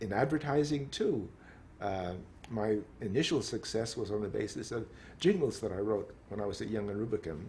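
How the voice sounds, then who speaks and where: At a moderate pace, a man talks with a fairly low pitch, a dark, mellow tone, a somewhat breathy quality and lively intonation. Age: 70s. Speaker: pianist. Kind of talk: interview answer.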